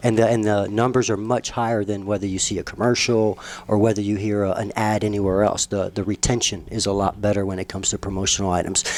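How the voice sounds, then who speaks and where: A man speaks at a very fast pace with hardly any pauses. His pitch is fairly low and his intonation is monotone and flat. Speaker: print shop co-owner. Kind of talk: radio interview.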